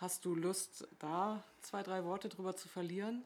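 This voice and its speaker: A woman speaks in an unremarkable speaking voice at a medium pitch. Her pace is fairly slow and her intonation fairly even. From northern Germany. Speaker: podcast host, local politician. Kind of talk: casual chat. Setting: kitchen table at home.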